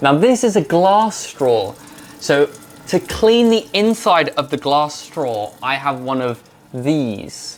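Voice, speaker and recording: A man with a British accent, very wide pitch swings, and a fairly slow pace. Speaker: English teacher. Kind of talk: educational vlog narration to camera. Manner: slow, clear.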